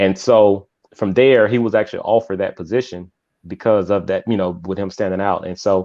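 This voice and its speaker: With an American accent, a man speaks fairly quickly in a fairly low pitch, keeping his intonation fairly even. It is an unremarkable speaking voice. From US South, Mississippi. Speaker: author and youth mentor. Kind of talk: interview.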